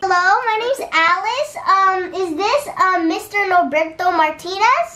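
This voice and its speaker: Here is a squeaky, put-on character voice with lively intonation. It moves at a fairly slow pace. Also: woman, extremely high pitch for a woman. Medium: solo performance. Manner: polite, businesslike, insistent.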